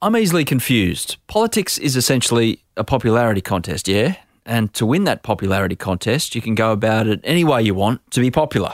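A man with an Australian accent, medium-pitched and fairly quick, with lively intonation and a dry, close sound with no echo. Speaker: podcast host. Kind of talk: interview; scripted narration. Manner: casual, jokey.

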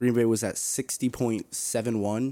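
Recorded very cleanly against a silent background, a man with a normal speaking voice and medium pitch talks fairly slowly. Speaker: sports podcast co-host, football fan. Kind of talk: casual chat.

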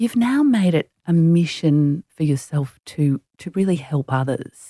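A woman with an Australian accent speaks fairly slowly in a fairly low, somewhat breathy voice with a dark, mellow tone and very wide pitch swings, the sound dry and close with no echo. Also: very clean recording, silent background. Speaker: podcast host and executive coach. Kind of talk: interview. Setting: studio.

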